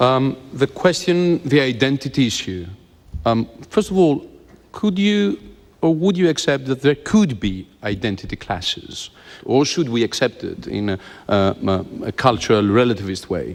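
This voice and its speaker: A man speaks at a moderate pace in a medium pitch. His pitch swings very widely. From Greece. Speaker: politician. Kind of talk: heated debate. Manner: hesitant.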